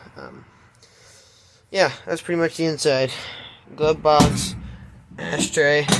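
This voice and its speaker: This man's voice sits fairly high in pitch. He speaks at a very slow pace against noticeable background noise. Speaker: vehicle video creator. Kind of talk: casual walkaround video. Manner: hesitant, many fillers.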